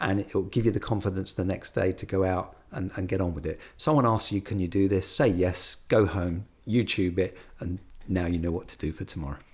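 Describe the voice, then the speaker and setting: Very deep and low, the somewhat breathy voice of a man moves at a fairly quick pace with ordinary pitch variation, captured on a very clean recording with a silent background. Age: 60s. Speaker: exterior cleaning business owner. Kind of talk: podcast interview.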